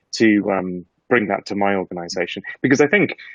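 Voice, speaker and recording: A man with a British accent, fairly low in pitch, with ordinary pitch variation. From UK. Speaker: market research executive. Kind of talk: panel discussion.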